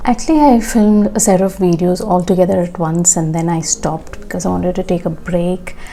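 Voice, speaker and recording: A woman talks in a soft-spoken way at a medium pitch with ordinary pitch variation. Noticeable background noise is present. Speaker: beauty vlogger. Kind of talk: tutorial. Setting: at home after washing hair. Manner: casual.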